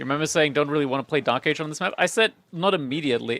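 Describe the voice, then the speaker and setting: A man talks at a very fast pace with a non-native accent. His pitch sits fairly high. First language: not English. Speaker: esports caster. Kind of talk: live commentary. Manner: fast, play-by-play.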